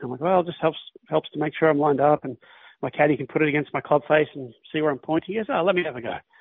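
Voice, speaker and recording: With an Australian accent, a man talks at a very fast pace and a fairly high pitch, his intonation fairly even. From Australia, Melbourne. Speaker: professional golfer. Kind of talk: casual interview.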